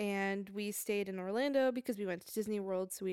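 A woman with an American accent has a normal speaking voice of medium pitch. Her pace is fairly quick. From New Jersey. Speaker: podcast co-host, photographer. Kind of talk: casual chat.

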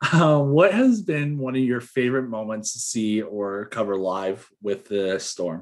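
A man in an ordinary speaking voice at medium pitch, with lively intonation, a fairly slow pace and hardly any pauses. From Toronto, Canada. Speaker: podcast host. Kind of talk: casual interview.

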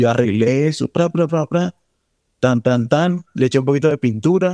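In a plain, everyday voice, a man talks at a moderate pace and medium pitch with ordinary pitch variation, the sound dry and close with no echo. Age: 20s. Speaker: actor. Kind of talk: personal storytelling interview.

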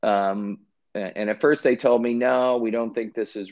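His pitch shows ordinary variation. This man speaks in an American accent. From Chicago west suburbs, Illinois. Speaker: lawyer and finance company founder. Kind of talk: casual interview.

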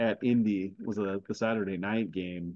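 A man speaks in an unremarkable speaking voice. His intonation is fairly even and his pace moderate. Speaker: podcast host. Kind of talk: casual sports chat.

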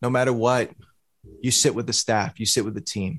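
A man with an American accent and an unremarkable speaking voice, at medium pitch and a fairly quick pace, with ordinary pitch variation. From Boston. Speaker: music producer and entrepreneur. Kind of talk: podcast interview.

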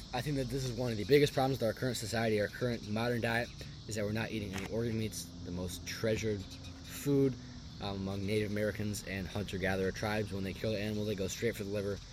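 This man talks very fast in a fairly low, somewhat breathy voice with fairly even intonation. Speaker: podcast host. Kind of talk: casual monologue.

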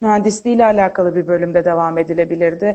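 Here, a woman talks at a fairly quick pace. Her tone is dark and mellow. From Turkey, Izmir. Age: 20s. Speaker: neuroscience graduate student. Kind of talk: interview. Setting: Instagram live video call.

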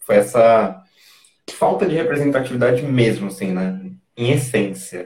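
A man with a medium-pitched, somewhat breathy voice speaks at a fairly slow pace, leaving long, frequent pauses. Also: ordinary pitch variation. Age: 20s. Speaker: former city council candidate. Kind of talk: interview.

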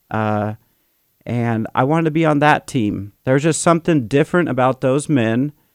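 Recorded dry and close with no echo, a man with an American accent speaks at a medium pitch. The recording is very clean with a silent background, and his pitch varies in an ordinary way. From Sacramento, California. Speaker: mission chaplain. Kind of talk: testimony.

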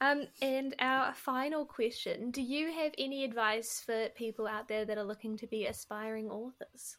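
Delivered at a moderate pace with fairly even intonation, the speech comes in a New Zealand accent on a very clean recording with a silent background. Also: woman, high pitch for a woman. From New Zealand, south. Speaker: podcast host. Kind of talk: casual interview.

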